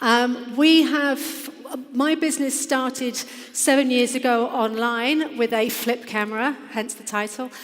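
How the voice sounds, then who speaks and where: With an English accent, a woman speaks at a high pitch and a fairly slow pace, amid noticeable background noise and audible room echo. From England. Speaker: business founder. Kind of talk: conference presentation. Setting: stage with audience.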